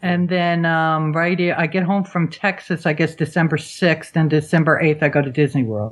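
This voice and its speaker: A woman uses an ordinary speaking voice, fairly low in pitch with ordinary pitch variation. She keeps a moderate pace with hardly any pauses. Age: 60s. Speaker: travel blogger. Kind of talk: casual chat.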